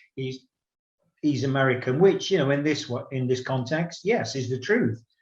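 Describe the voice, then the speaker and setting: A man talks in a somewhat breathy voice at a medium pitch. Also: ordinary pitch variation, moderate pace. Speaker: podcast host. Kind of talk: casual chat. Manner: halting.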